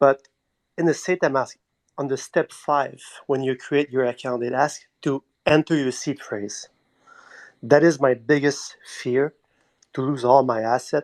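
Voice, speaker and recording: A man with a Quebec accent talks at a fairly slow pace with long, frequent pauses. His voice is fairly high in pitch, fairly even in intonation, and dry and close with no echo. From Quebec, Montreal. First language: French. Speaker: community member asking a question. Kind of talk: live audio chat question. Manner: halting.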